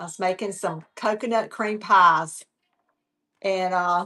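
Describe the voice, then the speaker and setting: A woman speaks at a fairly slow pace in a Southern US accent. The background is quiet. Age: 70s. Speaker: online reseller. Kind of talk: live sales stream. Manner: casual, halting.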